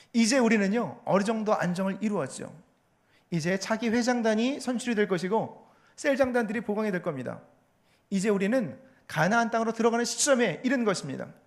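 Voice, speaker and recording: In a room with audible echo, a man with a high pitch talks at a fairly quick pace and ordinary pitch variation. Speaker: pastor and theology professor. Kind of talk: sermon. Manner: fast.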